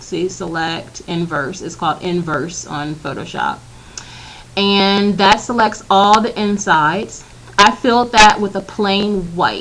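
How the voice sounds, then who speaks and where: A woman with a medium pitch speaks at a fairly slow pace, with ordinary pitch variation and big swings in loudness. There is noticeable background noise. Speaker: graphic design tutorial maker. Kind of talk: screen-recorded software tutorial. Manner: casual with fillers.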